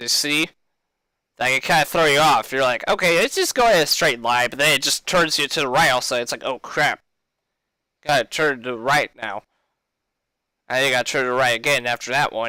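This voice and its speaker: Loud and bright with a sharp tone, a man talks at a fairly quick pace and fairly high pitch with long, frequent pauses, the sound dry and close with no echo on a very clean recording with a silent background. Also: ordinary pitch variation. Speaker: gaming streamer. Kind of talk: tutorial. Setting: live stream.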